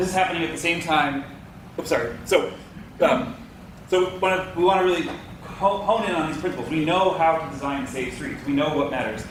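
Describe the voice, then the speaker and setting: Amid noticeable background noise and audible room echo, a man with an American accent talks at a fairly quick pace and high pitch with ordinary pitch variation. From Boston. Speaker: transportation consultant. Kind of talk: public presentation. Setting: public meeting with audience. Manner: repetitive stammering.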